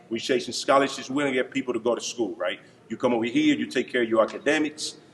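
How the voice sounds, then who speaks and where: Noticeable background noise sits behind a man talking at a very fast pace and medium pitch. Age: 30s. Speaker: basketball coach. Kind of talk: banquet speech. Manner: animated.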